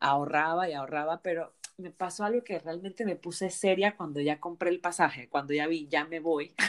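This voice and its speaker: At a moderate pace, a woman uses an ordinary speaking voice, fairly low in pitch with ordinary pitch variation. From Panama. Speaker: travel podcast host. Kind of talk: casual interview.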